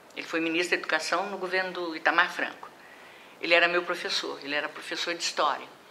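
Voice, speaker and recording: Over noticeable background noise, a woman speaks at a very fast pace. Her voice is fairly low in pitch, with monotone, flat intonation. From Brazil, Minas Gerais (Juiz de Fora). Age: 70s. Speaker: retired professor of physical education. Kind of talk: oral history interview.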